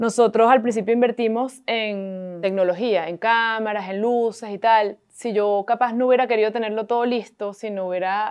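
A woman with a Venezuelan accent, fairly high pitch, fairly even intonation, a moderate pace and a quiet background. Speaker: entrepreneur, coworking space owner; guest. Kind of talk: interview. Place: home room. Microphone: lapel.

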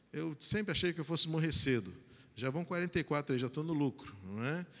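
Here a man speaks at a fairly high pitch. His intonation is lively. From Brazil. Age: 40s. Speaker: pastor. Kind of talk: sermon. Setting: church. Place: church. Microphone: handheld.

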